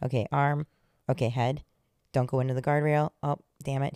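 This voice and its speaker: A woman with a very deep, low pitch and a dark, mellow tone speaks in a monotone, flat intonation. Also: dry, close sound with no echo. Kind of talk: casual banter. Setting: home basement studio. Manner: loud when natural.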